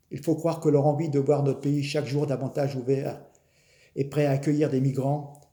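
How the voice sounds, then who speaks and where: This man speaks in a somewhat breathy, fairly high voice, keeping a moderate pace. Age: 60s. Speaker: political commentator. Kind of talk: opinion monologue. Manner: animated.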